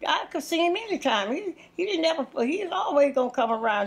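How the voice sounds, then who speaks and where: A woman's high-pitched voice in a Southern US accent, fairly quick, with lively intonation. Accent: Southern American. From Louisiana. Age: 80s+. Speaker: interviewee. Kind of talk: interview answer. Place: home room.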